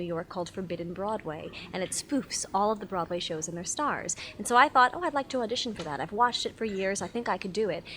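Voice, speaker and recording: The delivery is very fast, with hardly any pauses. Pitch varies in an ordinary way. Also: woman. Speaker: singer and impressionist. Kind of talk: interview.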